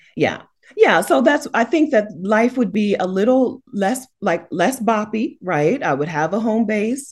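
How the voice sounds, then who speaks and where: Somewhat breathy and animated in tone, a woman with an American accent speaks at a fairly slow pace, her pitch swinging very widely. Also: fairly high pitch for a woman. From United States. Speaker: YouTuber and house sitter. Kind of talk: casual chat.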